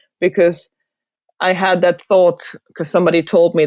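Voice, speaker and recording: A woman with a German accent and a fairly low pitch talks at a fairly quick pace. The sound is dry and close with no echo, over a quiet background. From Germany (Hildesheim area, Lower Saxony). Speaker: designer. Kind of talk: interview.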